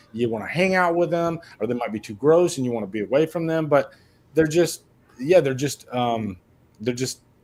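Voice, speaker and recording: Speaking fairly quickly with lively intonation, a man has an American accent. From US South, Mississippi. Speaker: movie reviewer, military veteran. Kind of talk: casual discussion.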